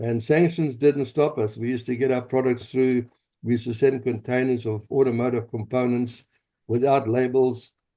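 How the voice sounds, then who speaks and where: A man speaks in a South African accent at a moderate pace and medium pitch. His tone is dark and mellow, his intonation monotone and flat. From South Africa, Johannesburg. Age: 70s. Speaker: pastor and activist. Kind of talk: interview, personal story.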